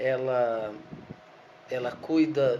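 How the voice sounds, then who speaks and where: A man talks while noticeable noise and audible echo from the room surround his voice. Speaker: law professor. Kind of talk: lecture. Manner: halting, repeats words.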